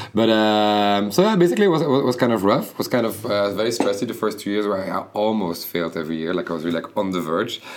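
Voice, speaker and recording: A man speaks at a very fast pace with hardly any pauses. His pitch sits fairly low. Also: ordinary pitch variation. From Belgium (Bruges, Flanders). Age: 30s. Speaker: fashion designer. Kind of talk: interview. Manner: halting.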